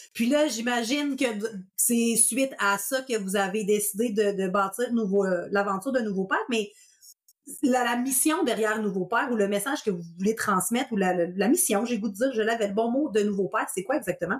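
A woman speaks in an animated tone with ordinary pitch variation and very even loudness. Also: fairly high pitch for a woman, moderate pace. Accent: Quebec. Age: 30s. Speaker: podcast host, sleep consultant. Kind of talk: casual interview.

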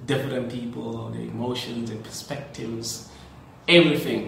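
A man keeps a moderate pace while audible room echo rings around his voice. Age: 30s. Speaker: teacher and podcast host. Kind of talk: casual monologue.

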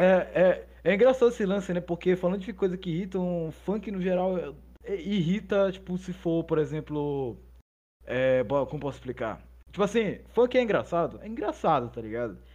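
A man speaks at a high pitch in a dark, mellow tone. His intonation is lively and his pace moderate. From northern Brazil. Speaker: podcaster. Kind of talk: casual chat.

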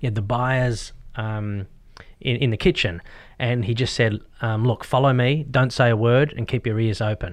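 A man speaks at a moderate pace with an Australian accent. His pitch sits in the medium range, and his intonation stays fairly even. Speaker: real estate agent. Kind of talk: interview. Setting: studio.

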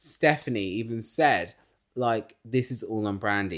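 A man speaks at a fairly slow pace in an animated tone with an English accent, on a very clean recording with a silent background. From England. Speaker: podcast host and musician. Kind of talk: casual chat.

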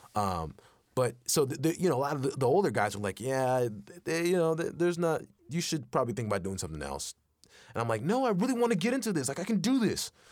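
Talking at a very fast pace, a man with an American accent uses a fairly high pitch and very wide pitch swings. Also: very clean recording, silent background. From Texas. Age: 20s. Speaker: voice actor. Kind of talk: casual interview.

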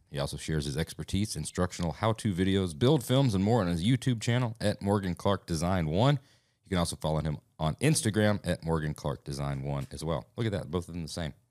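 In a very clean recording with a silent background, a man with a very deep, low voice talks at a very fast pace. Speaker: podcast co-host. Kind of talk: casual chat; scripted show intro.

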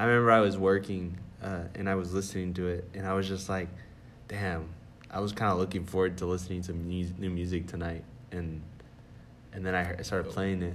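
A man with an American accent speaks at a fairly quick pace in a very deep, low voice, flat and monotone. His words come with long, frequent pauses, and audible room echo surrounds them. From Texas. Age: 20s. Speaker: podcast host. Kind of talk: casual chat. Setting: library conference room. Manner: halting, many fillers.

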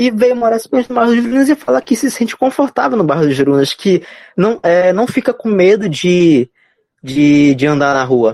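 In a dry, close recording with no echo, a man speaks in a high-pitched voice that swings very widely in pitch. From Belém, Pará, Brazil. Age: 20s. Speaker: neighborhood resident guest. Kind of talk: casual chat. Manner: halting.

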